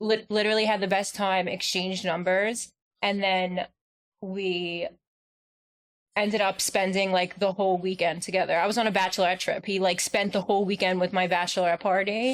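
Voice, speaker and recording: A woman with a New York accent speaks at a fairly quick pace. Her pitch is medium and her loudness very even. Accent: Staten Island. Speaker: podcast co-host. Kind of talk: casual chat. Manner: animated.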